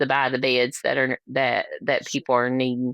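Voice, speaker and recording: Here a woman speaks with a strong Appalachian accent. Her pace is moderate. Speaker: labor and delivery nurse, nonprofit founder. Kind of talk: interview conversation. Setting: podcast interview.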